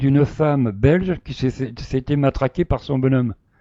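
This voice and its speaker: Speaking at a moderate pace, a man with a fairly high pitch, ordinary pitch variation and a dark, mellow tone is heard in a dry, close sound with no echo. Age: 60s. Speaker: live stream participant defending himself. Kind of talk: casual live chat, recounting a story. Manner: hesitant, many fillers and repetitions.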